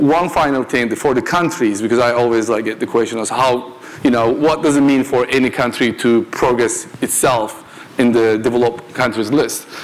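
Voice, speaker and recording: Noticeable background noise runs under this recording. A man speaks at a medium pitch and a moderate pace. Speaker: panelist, tech entrepreneur. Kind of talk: panel discussion.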